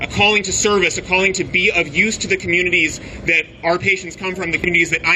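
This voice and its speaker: A man talks at a very fast pace with a high pitch and fairly even intonation. Noticeable background noise can be heard. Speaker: obstetrician speaking at rally. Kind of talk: rally speech. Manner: impassioned.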